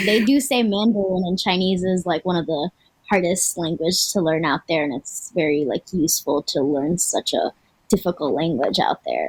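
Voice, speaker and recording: A woman talks at a fairly quick pace in a fairly low pitch with lively intonation. It is an ordinary speaking voice, with a dry, close sound and no echo. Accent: American. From Florida, US. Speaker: co-host of a cultural TV program. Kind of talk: casual panel chat.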